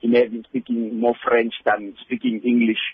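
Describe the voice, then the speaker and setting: A man talks in a monotone with flat intonation. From Cameroon, northwest province. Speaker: university lecturer. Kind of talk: radio interview. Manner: halting.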